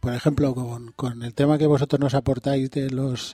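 Dark and mellow in tone, a man speaks in a medium pitch with monotone, flat intonation, recorded in a dry, close sound with no echo. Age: 50s. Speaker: secretary of a regional association. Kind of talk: radio interview.

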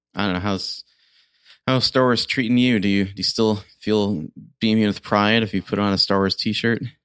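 A man with a plain, everyday voice speaks at a moderate pace in a fairly low pitch with fairly even intonation, the sound dry and close with no echo over a quiet background. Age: 40s. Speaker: podcast host. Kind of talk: casual chat.

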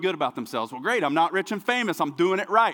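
A man with an American accent speaks in an animated tone, his voice raised and projected. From US, small town. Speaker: pastor. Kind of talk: sermon. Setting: church.

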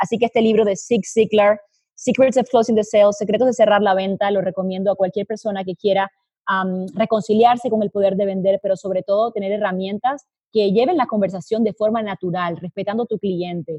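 At a fairly quick pace, a woman talks at medium pitch with a dark, mellow, somewhat breathy tone and fairly even intonation, in a dry, close recording with no echo. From Colombia. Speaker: business consultant. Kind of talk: interview.

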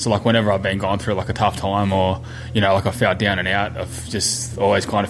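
A man talks at a very fast pace in a fairly low pitch. Noticeable background noise and audible room echo are present. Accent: Australian. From New South Wales South Coast. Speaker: amateur boxer. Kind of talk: interview monologue.

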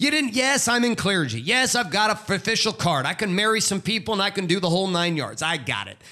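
Raised and projected, this man's voice is high-pitched with a bright, sharp tone. His intonation is lively, and he moves at a fairly quick pace. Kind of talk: pep talk. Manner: fired-up, emphatic, urgent exhortation.

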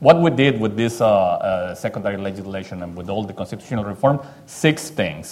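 With a Spanish accent, a man talks in a fairly low pitch with lively intonation over noticeable background noise. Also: fairly quick pace, big swings in loudness. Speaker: Mexican congressman. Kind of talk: panel discussion.

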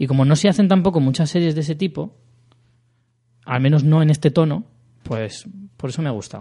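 Fairly high in pitch, a man talks at a fairly quick pace. His tone is dark and mellow, and his intonation lively. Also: quiet background. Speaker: podcast host. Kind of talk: casual chat.

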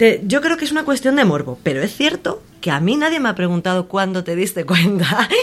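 Pitch swings very widely at a fairly quick pace, with noticeable noise in the background. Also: woman, medium pitch for a woman. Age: young. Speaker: entertainment worker and voice course student. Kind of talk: casual chat. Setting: bookshop.

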